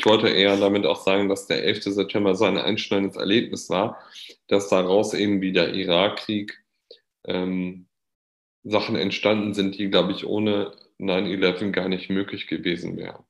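A man with a normal speaking voice talks at a moderate pace and a fairly low pitch, his intonation fairly even. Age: 20s. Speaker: podcast host. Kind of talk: casual chat.

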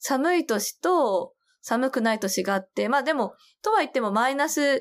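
Captured in a very clean recording with a silent background, a woman speaks fairly slowly at a high pitch with very wide pitch swings. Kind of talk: casual chat.

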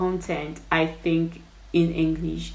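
A woman with an American accent at a very slow pace, over noticeable background noise. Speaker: podcast host and writer. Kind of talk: casual behind-the-scenes chat, podcast production talk.

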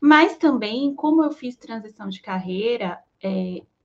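A somewhat breathy woman. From Brazil, Salvador, Bahia. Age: 30s. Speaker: back-end developer. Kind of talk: panel discussion.

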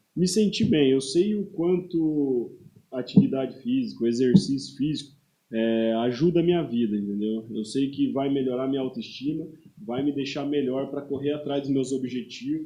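This man talks with an ordinary speaking voice at a moderate pace, using a fairly high pitch and lively intonation. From Paraná interior, Brazil. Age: 30s. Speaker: personal trainer and football referee. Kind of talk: casual interview chat. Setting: podcast studio, live stream.

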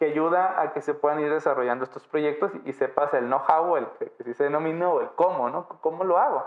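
Using a plain, everyday voice, a man speaks at a moderate pace with a fairly high pitch. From Mexico, Baja California Sur. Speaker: electronics engineer in IoT lab. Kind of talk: interview.

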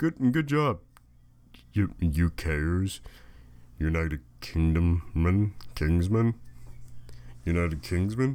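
A man speaks with long, frequent pauses. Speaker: podcaster. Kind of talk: casual solo monologue. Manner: rambling, hesitant with fillers.

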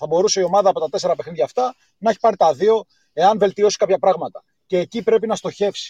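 Recorded dry and close with no echo, a man speaks in a dark, mellow tone at a high pitch. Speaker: caller. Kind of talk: casual chat. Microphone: voice sounds hollow, poor line at first.

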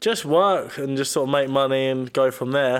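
A man speaks with a southern English accent. His intonation is fairly even. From southern England, Brighton. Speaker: personal trainer. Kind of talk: casual chat.

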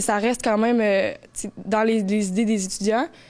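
At a moderate pace, a woman talks in an ordinary speaking voice. Her pitch is fairly high. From Montreal, Quebec. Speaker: college student. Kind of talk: radio interview.

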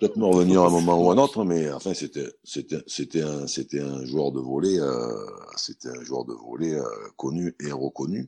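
With a dark, mellow tone, a man speaks at a very deep, low pitch and a fairly slow pace, using ordinary pitch variation. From southern France, Montélimar. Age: 50s. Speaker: pétanque player and TV pundit. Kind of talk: interview.

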